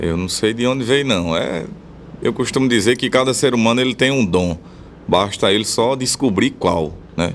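A man in a plain, everyday voice, medium in pitch, with lively intonation at a moderate pace. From Rio Grande do Norte interior, Brazil (Bom Jesus). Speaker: forró accordionist and vaquejada cowboy. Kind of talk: radio interview.

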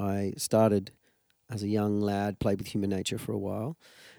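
With an Australian accent, a man speaks in a fairly low voice with a dark, mellow tone. His intonation is monotone and flat, and the recording is very clean with a silent background. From Tasmania, Australia. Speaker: musician. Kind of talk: casual interview. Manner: halting.

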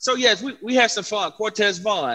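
A man's high-pitched, raised and projected voice with a bright, sharp tone. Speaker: gospel singer. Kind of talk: casual interview.

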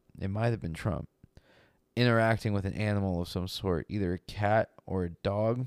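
Recorded very cleanly against a silent background with a dry, close sound and no echo, a man has an ordinary speaking voice, a fairly low pitch, fairly even intonation and a moderate pace. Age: 20s. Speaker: podcast co-host. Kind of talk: casual chat.

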